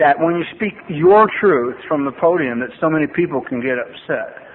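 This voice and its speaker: A man talks at a moderate pace with lively intonation and a fairly high pitch, in an American accent. Noticeable background noise sits behind him. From US West Coast, Los Angeles. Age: 60s. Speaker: AA speaker in recovery. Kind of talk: recovery testimony talk. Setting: podium at a meeting with audience. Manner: conversational, with many fillers and restarts.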